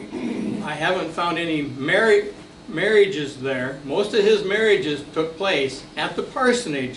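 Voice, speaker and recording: A man with a high pitch speaks at a fairly slow pace with lively intonation. The room echo is audible, and there is noticeable background noise. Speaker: local history presenter. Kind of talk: lecture. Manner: halting.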